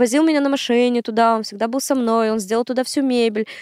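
In a very clean recording with a silent background and a dry, close sound with no echo, a woman speaks in a high pitch with fairly even intonation. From Komi Republic, northern Russia (Syktyvkar). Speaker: math tutor and education entrepreneur. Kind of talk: casual chat.

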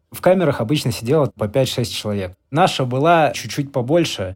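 A man with an ordinary speaking voice talks at a moderate pace using lively intonation. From Russia. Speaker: former prisoner. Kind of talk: interview.

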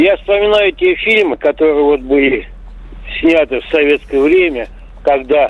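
A man's voice comes through with noticeable background noise behind it. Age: 60s. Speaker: caller. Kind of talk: casual phone call. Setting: phone call.

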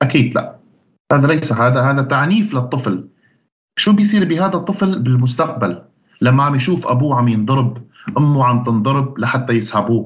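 A man with a Syrian accent talks at a moderate pace and a fairly high pitch. His somewhat breathy voice carries lively intonation. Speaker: activist and YouTuber. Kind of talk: interview answers, serious tone. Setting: video call.

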